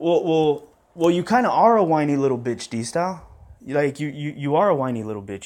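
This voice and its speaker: In a quiet background, a man's speech shows ordinary pitch variation. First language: Spanish. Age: 30s. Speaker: boxing YouTuber. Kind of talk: response video rant. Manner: animated.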